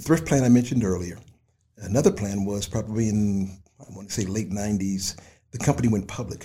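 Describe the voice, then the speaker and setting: Speaking at a very fast pace, a man with a fairly low pitch and a dark, mellow tone sounds somewhat breathy, with ordinary pitch variation and big swings in loudness. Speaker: retired delivery company manager. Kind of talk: interview.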